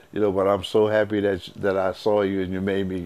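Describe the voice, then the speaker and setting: There is noticeable background noise behind the speaker. A man with an American accent talks at a fairly quick pace. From Philadelphia, US. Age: 70s. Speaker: music producer and saxophonist. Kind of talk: interview reminiscence. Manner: halting, with restarts.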